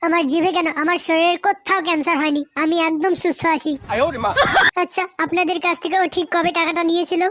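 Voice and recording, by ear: A female-sounding, squeaky, cartoonish character voice talks at a moderate pace in an extremely high pitch with monotone, flat intonation.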